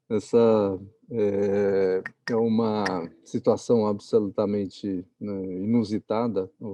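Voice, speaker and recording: A man's fairly low voice has a dark, mellow tone and a monotone, flat intonation, recorded dry and close with no echo. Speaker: architecture professor. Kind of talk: lecture. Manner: slow.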